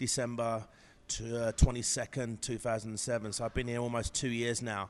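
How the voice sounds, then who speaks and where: A man speaks with an English accent. He goes at a fairly quick pace. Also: quiet background. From England. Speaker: professional bodybuilder. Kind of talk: interview. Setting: gym. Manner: halting, many fillers.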